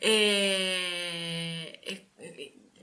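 This is a woman speaking. Her pitch is fairly low. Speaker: podcast host. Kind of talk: casual interview.

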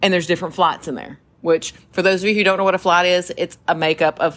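A woman with a fairly low voice speaks at a very fast pace. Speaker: podcast co-host, mother and military veteran. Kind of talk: casual chat. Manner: animated storyteller.

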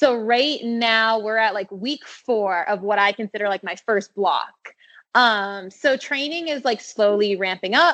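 With an American accent, a woman has an unremarkable speaking voice, talking at a fairly slow pace with a fairly high pitch and ordinary pitch variation. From Maine, US (Standish, Portland area). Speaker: professional runner. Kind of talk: casual interview.

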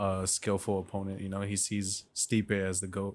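Fairly low-pitched male voice with an American accent, at a moderate pace. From Mexican heritage, US. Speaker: podcast co-host. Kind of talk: casual chat.

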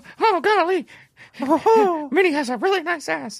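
An extremely high-pitched, put-on character voice speaks at a moderate pace. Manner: cartoonish, exclaiming.

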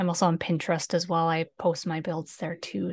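A fairly low-pitched woman's voice with an American accent. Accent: Canadian, said to sound like Minnesota. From Canada, northern British Columbia. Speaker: Sims builder and graphic designer. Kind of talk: casual chat interview.

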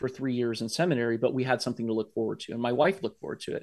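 Very fast speech from a man with an American accent and medium pitch. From US Midwest (Columbus, Ohio). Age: 40s. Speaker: army chaplain and veteran. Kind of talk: casual interview conversation.

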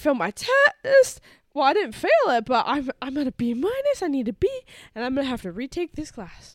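The speaker talks at a fairly quick pace with an animated tone and very wide pitch swings. The sound is dry and close, with no echo. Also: woman, high pitch for a woman. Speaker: podcast co-host. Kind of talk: casual chat. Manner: animated, excitable.

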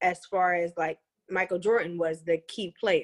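Dry and close with no echo, the clip has a woman using an ordinary speaking voice at medium pitch and a fairly slow pace. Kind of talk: casual chat.

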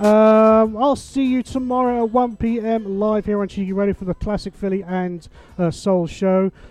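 Music plays behind a man with an English accent and a high pitch. He talks at a moderate pace with fairly even intonation. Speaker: radio DJ. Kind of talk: radio DJ patter. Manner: chatty, warm, jokey.

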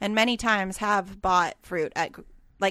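On a very clean recording with a silent background, a woman with an unremarkable speaking voice talks at a medium pitch and a fairly quick pace, with ordinary pitch variation. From Canada, Alberta. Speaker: podcast co-host. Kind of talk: casual chat.

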